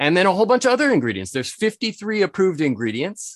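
A man speaks with a New England accent and very wide pitch swings. The sound is dry and close with no echo, against a quiet background. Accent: American (New England). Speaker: spirits importer and author. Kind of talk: interview.

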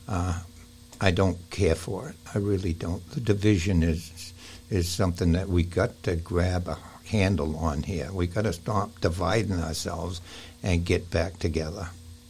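A man speaks with an American accent at a moderate pace. His voice is very deep, low-pitched and somewhat breathy. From Maine, US. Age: 70s. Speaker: guest interviewee. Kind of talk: casual interview conversation.

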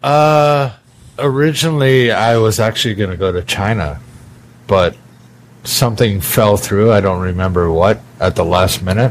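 Lively intonation marks this man's fairly low-pitched voice with a Canadian accent. He has an ordinary speaking voice and keeps a moderate pace. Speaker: podcast host. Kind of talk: casual chat. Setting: bar.

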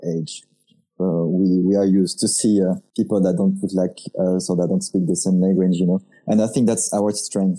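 Fairly low in pitch, a man talks with a dark, mellow tone. His pace is moderate and his intonation fairly even. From France. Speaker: designer and podcast host. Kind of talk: casual chat.

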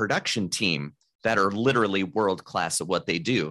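On a very clean recording with a silent background, a man talks in a bright, sharp tone with lively intonation. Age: 30s. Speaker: mind reader and business consultant. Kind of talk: casual interview.

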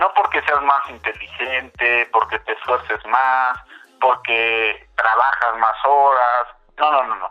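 Very slow pace from a man at medium pitch, with fairly even intonation. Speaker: political analyst at an NGO. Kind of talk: interview. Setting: phone call. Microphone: phone line.

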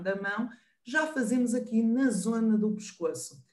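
A woman talks in a northern Portuguese accent. Her pitch is fairly high and her pace moderate. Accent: northern European Portuguese. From northern Portugal. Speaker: professor and sign language interpreter. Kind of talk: online panel discussion.

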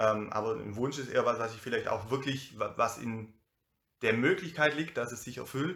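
On a very clean recording with a silent background, a man speaks at a moderate pace with a bright, sharp tone and ordinary pitch variation. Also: medium pitch for a man. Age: 30s. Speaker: youth worker and DJ. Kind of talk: casual conversation.

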